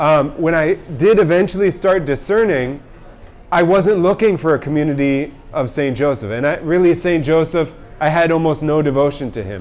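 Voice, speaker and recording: A man talks at a moderate pace and a fairly high pitch, with an American accent. His pitch varies in an ordinary way over noticeable background noise. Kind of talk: talk to young adults at a pub event. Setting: pub with live audience.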